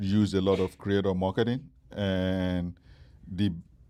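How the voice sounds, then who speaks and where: A man's very deep, low, monotone voice with flat intonation and a Nigerian accent, on a very clean recording with a silent background. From Nigeria, Lagos. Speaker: startup founder. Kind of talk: interview. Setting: stage with live audience. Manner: hesitant, many fillers.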